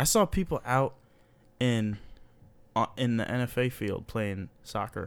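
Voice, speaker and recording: An animated man at a fairly slow pace and medium pitch, with ordinary pitch variation and long, frequent pauses, on a very clean recording with a silent background. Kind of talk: casual comedic chat. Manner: joking, animated, laughs often.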